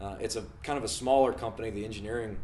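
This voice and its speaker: Very fast and somewhat breathy, a man with an American accent and a fairly low pitch speaks amid audible room echo. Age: 20s. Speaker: engineering student. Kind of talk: self-introduction video. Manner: casual, with many fillers.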